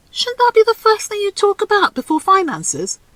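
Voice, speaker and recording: In a put-on character voice, a female-sounding speaker squeaks at an extremely high pitch and a fairly quick pace. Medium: read story. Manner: playful, provocative.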